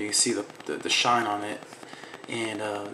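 The voice belongs to a man. Faint noise sits behind him. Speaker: holster maker. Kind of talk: casual product demo talk to camera. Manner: hesitant, many fillers. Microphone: phone near.

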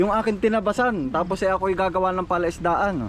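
This man's intonation stays fairly even while he speaks at a fairly quick pace. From Quezon province, Philippines. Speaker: vlogger. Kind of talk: vlog narration and casual chat.

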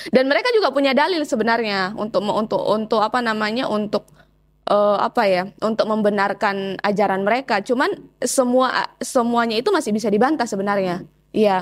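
A woman with a normal speaking voice talks at a fairly quick pace in a fairly high pitch, with ordinary pitch variation. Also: very even loudness, quiet background. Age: 20s. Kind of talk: testimony interview. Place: home room. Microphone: lapel.

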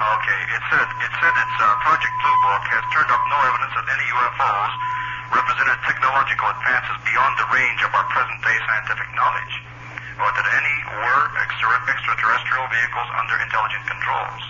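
Light background noise sits behind a man who keeps up a fairly quick pace. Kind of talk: phone interview questioning. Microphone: phone line.

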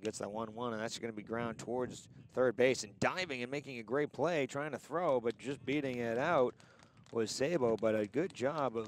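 Over light background noise, a man speaks at a moderate pace with ordinary pitch variation and a dry sound with no echo. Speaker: baseball play-by-play announcer. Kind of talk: live sports commentary, play-by-play. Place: stadium.

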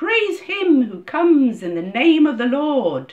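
A woman uses a put-on character voice with a high pitch and big pitch swings. She speaks at a slow pace.

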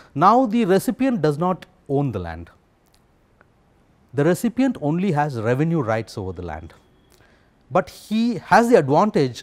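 Speaking at a moderate pace, a man swings his pitch very widely. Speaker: interviewee. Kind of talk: interview answer. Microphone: lapel.

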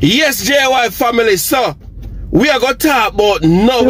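A man at a fairly slow pace, dry sound with no echo, light background noise. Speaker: vlogger. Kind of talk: casual vlog chat. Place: car. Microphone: phone near.

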